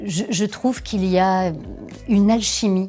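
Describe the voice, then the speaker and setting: A woman talks with fairly even intonation. Music can be heard in the background. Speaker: voice actor, dubbing actress and voice director; voice and dubbing trainer. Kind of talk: interview answer about her career.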